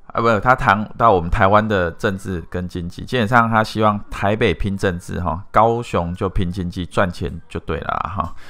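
A bright, sharp tone at a moderate pace, with ordinary pitch variation and hardly any pauses. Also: man, fairly low pitch for a man. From Taiwan, Pingtung. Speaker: marketing company CEO, YouTuber. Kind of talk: video monologue. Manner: casual, filler-heavy.

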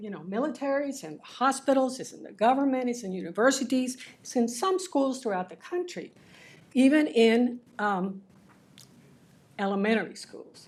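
A woman speaks in a Spanish accent at a high pitch. Her pitch swings very widely. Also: moderate pace, big swings in loudness. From Cuba (Havana). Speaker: public commenter. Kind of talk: prepared public comment speech. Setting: school board meeting. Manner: halting, with many fillers.

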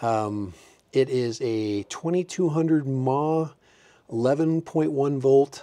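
Lively intonation runs through this man's speech. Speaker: hobbyist reviewer. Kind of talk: casual tutorial vlog chat. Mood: cheerful, amused. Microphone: lapel.

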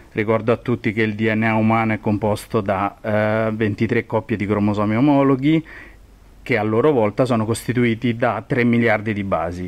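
A man with an unremarkable speaking voice talks at a moderate pace and medium pitch, with fairly even intonation. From Rome, central Italy. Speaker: genetics professor. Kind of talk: expert interview explanation. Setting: recorded in person at his university department.

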